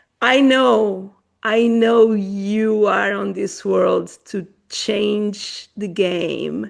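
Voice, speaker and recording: A woman with a Portuguese accent speaks at a very slow pace. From Portuguese-born, raised in Africa. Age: 40s. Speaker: podcast host. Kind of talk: podcast conversation.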